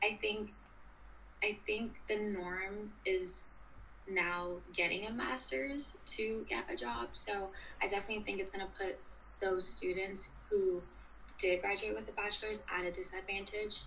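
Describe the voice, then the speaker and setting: Someone with an American accent speaks at a fairly slow pace with long, frequent pauses. Noticeable background noise and audible room echo are present. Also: woman. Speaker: student journalist. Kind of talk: interview.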